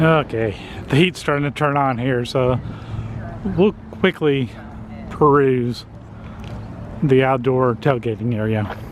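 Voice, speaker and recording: A man with a Texas accent at a medium pitch, ordinary pitch variation and a fairly slow pace, with long, frequent pauses over noticeable background noise. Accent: full Texas accent, soft T's. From Texas, northwest Dallas. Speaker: vlogger. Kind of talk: casual walk-around vlog commentary. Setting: outdoors at a ham radio expo. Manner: whispering at times.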